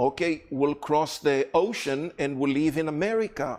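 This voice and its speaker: This man speaks very slowly with an Israeli accent. His voice is fairly high and his intonation lively. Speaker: guest speaker on Israel and prophecy. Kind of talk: lecture.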